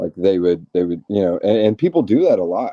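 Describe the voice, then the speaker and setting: In a Southern US accent, a man speaks with a very deep, low pitch. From US South. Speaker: reality TV contestant. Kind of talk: casual chat.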